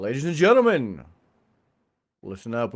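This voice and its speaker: A booming, put-on character voice at a moderate pace. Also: man, medium pitch for a man. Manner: booming announcer.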